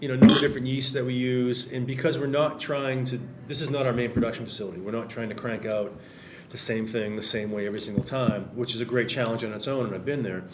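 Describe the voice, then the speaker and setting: A man talks very fast at a medium pitch with fairly even intonation. Noticeable background noise runs underneath. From Massachusetts, Salem area. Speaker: brewery owner and brewer. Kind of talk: casual chat. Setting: brewery tap room, remote mic.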